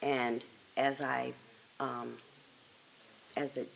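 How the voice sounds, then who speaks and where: An American accent comes through. The speaker is a woman. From Chicago, South Side. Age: 60s. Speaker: oral history interviewee. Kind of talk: oral history interview.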